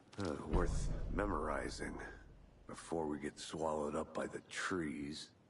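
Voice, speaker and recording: A put-on character voice in a deadpan tone, moderate in pace with long, frequent pauses, over clear background noise. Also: man, very deep, low pitch for a man. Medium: video game. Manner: deadpan, gruff.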